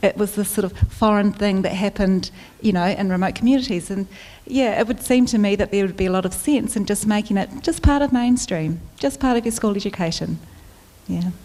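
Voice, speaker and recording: A woman with a New Zealand accent talks at a fairly quick pace, using a medium pitch and ordinary pitch variation. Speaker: health forum panelist. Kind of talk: panel discussion.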